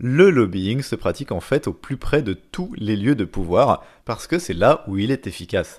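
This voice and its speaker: On a very clean recording with a silent background, a man speaks at a fairly slow pace. His pitch sits in the middle range yet swings very widely. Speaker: educational podcast host. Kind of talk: scripted narration.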